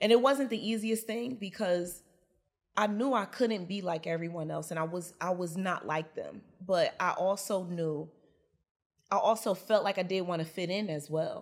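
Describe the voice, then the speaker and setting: In an American accent, a woman uses a normal speaking voice at a medium pitch with ordinary pitch variation. She keeps a moderate pace on a very clean recording with a silent background. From Newark, New Jersey. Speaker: business coach. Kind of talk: interview.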